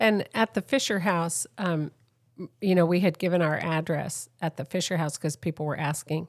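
Speaking in an ordinary speaking voice with an American accent, the talker keeps a moderate pace and ordinary pitch variation on a very clean recording with a silent background, the sound dry and close with no echo. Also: woman, fairly low pitch for a woman. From San Diego, California. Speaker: accident survivor, mother of the host. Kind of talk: casual chat. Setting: home recording.

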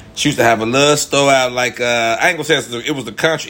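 The man's tone is animated, with ordinary pitch variation at a fairly quick pace. Noticeable background noise can be heard. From Chicago, Illinois. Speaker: first-time podcaster. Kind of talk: storytelling monologue. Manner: casual, slangy.

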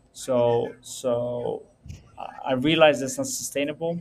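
A man talks over noticeable background noise. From Netherlands. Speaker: entrepreneur. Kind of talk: interview.

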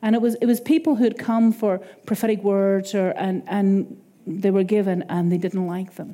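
A medium-pitched woman's voice with an Irish accent. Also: ordinary pitch variation, moderate pace, very clean recording, silent background. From Ireland. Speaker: preacher. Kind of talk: sermon. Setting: church.

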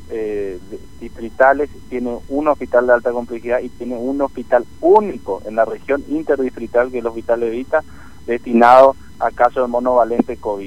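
A man with a normal speaking voice and a medium pitch talks at a moderate pace with fairly even intonation and big swings in loudness. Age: 30s. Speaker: provincial politician. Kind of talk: radio interview.

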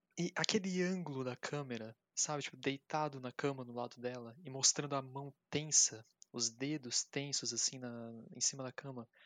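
A man with a Brazilian accent at medium pitch, ordinary pitch variation, moderate pace and big swings in loudness, in dry, close sound with no echo. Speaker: podcast guest discussing films. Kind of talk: casual chat.

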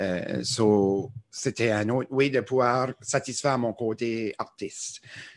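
A man with an Acadian accent speaks at a very slow pace with hardly any pauses. The recording is very clean, with a silent background. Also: medium pitch for a man, fairly even intonation. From Acadian New Brunswick. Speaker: musician and social media creator. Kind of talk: casual interview. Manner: hesitant, many fillers.

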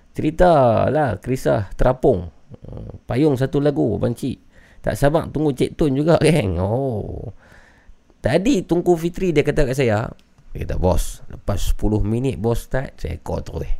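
A man speaks fairly slowly at a medium pitch, with a dark, mellow tone and vocal fry. His pitch swings very widely. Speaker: horror podcast host taking phone calls. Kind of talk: live call-in show hosting.

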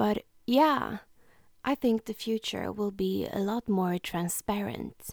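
Speech in a Swedish accent comes at a very slow pace in a dry, close sound with no echo. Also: woman, medium pitch for a woman, ordinary pitch variation. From Sweden. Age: 20s. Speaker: podcaster. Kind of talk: solo podcast monologue, self-help. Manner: warm, earnest.

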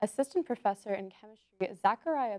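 Her pace is moderate and her pitch fairly high. This woman has a normal speaking voice, recorded dry and close with no echo. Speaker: science news correspondent. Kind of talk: news report.

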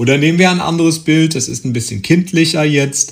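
A man's somewhat breathy voice. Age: 40s. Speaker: podcast host. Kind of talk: solo monologue. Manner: hesitant with fillers.

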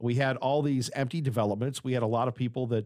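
In a normal speaking voice, a man talks at a fairly quick pace and medium pitch on a very clean recording with a silent background. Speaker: radio interviewer. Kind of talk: radio interview. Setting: radio studio.

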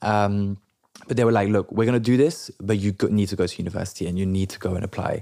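A man with a French accent talks very fast at a fairly low pitch. His tone is dark and mellow, and his intonation is fairly even. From London. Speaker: entrepreneur. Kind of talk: interview.

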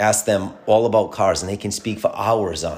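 With an American accent, a man uses an ordinary speaking voice, fairly low in pitch, at a moderate pace. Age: 40s. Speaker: podcast host. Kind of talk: solo monologue podcast.

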